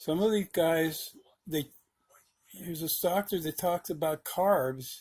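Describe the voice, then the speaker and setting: This man's voice sits high, and he talks fairly slowly. He leaves long, frequent pauses, with fairly even intonation. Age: 60s. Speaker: video blogger, diabetic driver. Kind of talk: casual video log monologue. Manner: halting, with repetitions.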